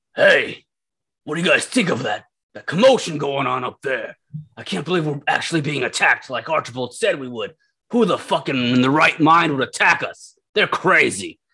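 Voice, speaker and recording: Using a put-on character voice, a raspy man with a fairly high pitch talks at a moderate pace with big swings in loudness. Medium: actual play.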